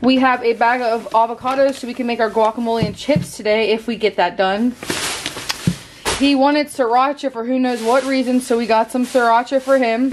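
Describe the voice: A woman speaks at a moderate pace with a fairly high pitch and fairly even intonation over faint background noise.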